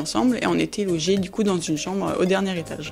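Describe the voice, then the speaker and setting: With music in the background, a woman talks very fast at a fairly low pitch and ordinary pitch variation. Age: 20s. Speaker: volunteer. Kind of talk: interview testimony. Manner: hesitant, many fillers.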